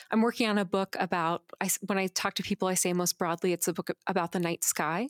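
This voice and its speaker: In a very clean recording with a silent background and a dry, close sound with no echo, a woman talks in a plain, everyday voice at medium pitch, fairly quick, with fairly even intonation. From Arizona, US (Phoenix). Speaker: poet. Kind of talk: casual interview.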